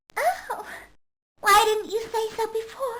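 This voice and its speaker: Squeaky, put-on character voice of a woman, extremely high in pitch, at a fairly slow pace with fairly even intonation. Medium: video game. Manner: prim, condescending.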